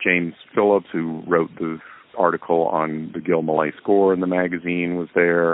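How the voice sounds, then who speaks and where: With an American accent, this man talks at a moderate pace in a very deep, low voice that stays monotone and flat. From US South. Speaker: film director. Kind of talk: interview. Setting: remote call.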